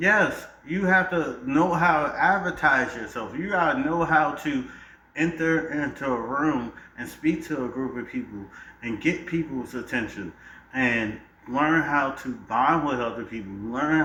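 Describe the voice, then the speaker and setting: Speech with lively intonation at a fairly slow pace. Noticeable background noise and audible room echo fill the recording. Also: man, fairly high pitch for a man. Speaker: debate panelist. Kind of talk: heated debate. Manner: animated.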